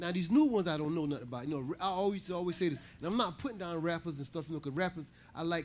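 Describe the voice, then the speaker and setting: A man talks in a normal speaking voice with a fairly high pitch. His pitch variation is ordinary, and the recording is very clean with a silent background. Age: 60s. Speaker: congregation member. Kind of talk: group discussion.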